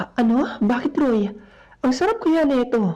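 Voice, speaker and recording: A shaky, fairly high-pitched put-on character voice at a fairly slow pace. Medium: read story.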